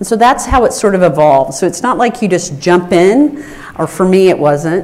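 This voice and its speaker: Moderate pace and very wide pitch swings, with audible room echo and noticeable background noise. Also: woman, medium pitch for a woman. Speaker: rare disease advocate, research center director. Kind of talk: conference panel talk.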